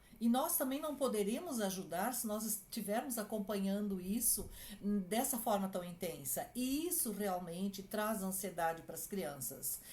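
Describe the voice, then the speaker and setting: A woman of medium pitch speaks at a fairly slow pace with hardly any pauses and very wide pitch swings, her voice somewhat breathy. The tone is dark and mellow, with audible room echo. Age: 60s. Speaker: clinical psychologist. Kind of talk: advice talk to families.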